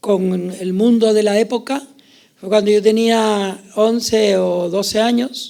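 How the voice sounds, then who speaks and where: A man with a high pitch and a dark, mellow tone speaks at a very slow pace with fairly even intonation. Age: 70s. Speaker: journalist. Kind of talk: panel discussion. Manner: halting.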